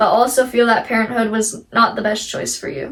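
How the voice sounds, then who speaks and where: Fairly high in pitch, a woman talks at a fairly quick pace. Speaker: YouTuber reading online stories. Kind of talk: reading aloud. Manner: expressive, emphatic reading.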